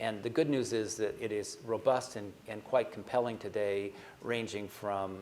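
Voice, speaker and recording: A man with an American accent has an unremarkable speaking voice, fairly low in pitch with fairly even intonation. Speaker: asset manager. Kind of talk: panel discussion.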